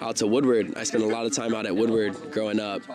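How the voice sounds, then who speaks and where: A man with an American accent at a fairly quick pace, medium-pitched, with noticeable background noise. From US South, South Carolina. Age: 20s. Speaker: professional skateboarder. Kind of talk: interview. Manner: casual, hesitant with fillers.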